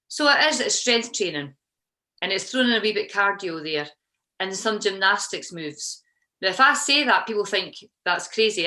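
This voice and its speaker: With a Scottish accent and a bright, sharp tone, a woman speaks at medium pitch and a moderate pace with lively intonation. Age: 50s. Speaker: CrossFit coach. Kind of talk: podcast interview answer.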